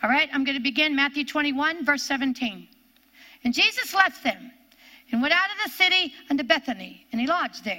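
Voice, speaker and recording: With a raised, projected voice, a woman speaks at a high pitch and moderate pace. Her tone is bright, sharp and animated, with lively intonation. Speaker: preacher. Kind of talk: sermon; Bible teaching to women's meeting. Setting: live stream women's meeting. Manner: animated, fervent; testifying, exhorting.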